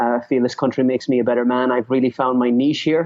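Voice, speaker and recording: The speaker talks in an Irish accent with monotone, flat intonation. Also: man. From Ireland. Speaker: author and speaker on leadership. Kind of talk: interview. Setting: call.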